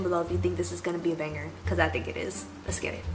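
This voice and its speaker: Very fast speech comes from a woman over noticeable background noise. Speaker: vlogger. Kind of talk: casual vlog chat. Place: home room.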